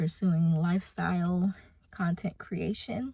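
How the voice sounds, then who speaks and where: Woman's voice, dark and mellow in tone, somewhat breathy. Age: 20s. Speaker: mother and lifestyle vlogger. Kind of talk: casual talk to camera.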